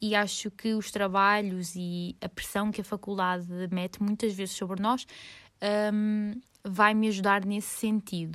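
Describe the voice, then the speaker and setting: Delivered at a moderate pace with fairly even intonation, the speech sits on a very clean recording with a silent background. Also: woman. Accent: Lisbon. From Lisbon, Portugal. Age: 20s. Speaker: podcaster and university student. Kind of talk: casual solo monologue.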